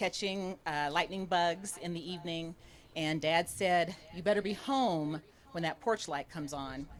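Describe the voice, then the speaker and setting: A woman with an American accent and a plain, everyday voice talks at a fairly slow pace and a fairly low pitch. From rural Ohio, US Midwest. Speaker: political candidate. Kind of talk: campaign speech. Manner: casual, conversational.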